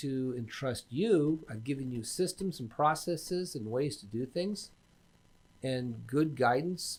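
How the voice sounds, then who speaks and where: On a very clean recording with a silent background, a man speaks at a fairly high pitch with ordinary pitch variation and big swings in loudness. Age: 50s. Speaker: business coach. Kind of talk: casual interview.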